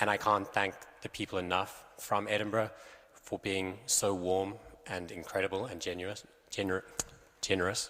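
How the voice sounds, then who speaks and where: With monotone, flat intonation and a fairly low pitch, a man talks at a moderate pace. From South Africa. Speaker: election candidate. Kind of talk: campaign speech at hustings. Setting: church hall with audience.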